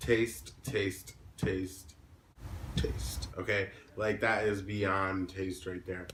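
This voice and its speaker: A man with a fairly low pitch and ordinary pitch variation, with audible room echo. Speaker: music vlogger. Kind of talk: casual vlog talk to camera. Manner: halting, filler-heavy.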